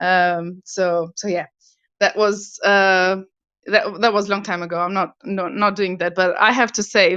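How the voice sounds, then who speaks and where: A woman with an Albanian accent, medium-pitched and bright and sharp in tone, at a fairly quick pace with fairly even intonation. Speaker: property investor. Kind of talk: interview. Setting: online audio room. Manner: halting.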